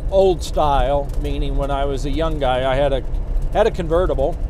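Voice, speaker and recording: A man talks at a moderate pace. The sound is dry with no echo, but background noise is noticeable. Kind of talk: casual product walkthrough while driving. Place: car.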